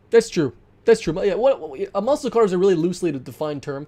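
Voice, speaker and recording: A man's high, dark, mellow voice at a fairly quick pace, with very wide pitch swings. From Canada. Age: 20s. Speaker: gaming streamer. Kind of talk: live stream chat. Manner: casual, stammering.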